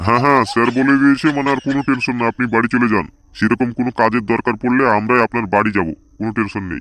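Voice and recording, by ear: A man uses a cartoonish character voice at a medium pitch. He talks at a very fast pace.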